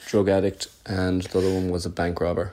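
A man with an Irish accent, at a moderate pace. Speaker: caller. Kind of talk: joke telling. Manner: halting.

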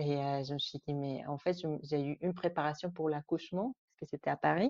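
This woman talks at a moderate pace. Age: 30s. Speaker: mother. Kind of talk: testimony. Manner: halting.

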